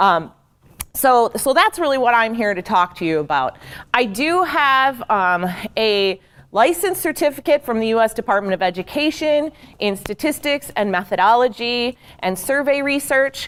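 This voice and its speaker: A loud woman, high in pitch, with very wide pitch swings. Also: moderate pace. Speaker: program evaluation trainer. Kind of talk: training workshop talk. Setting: large room with audience. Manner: loud, projecting. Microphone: speaking without a handheld mic, wearing recording mic.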